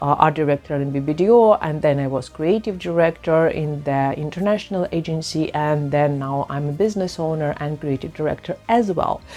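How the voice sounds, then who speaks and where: A woman's very deep, low pitch with a non-native accent, ordinary pitch variation and a fairly quick pace with hardly any pauses, over noticeable background noise. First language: not English. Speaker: personal branding coach. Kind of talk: casual vlog. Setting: outdoors in a park.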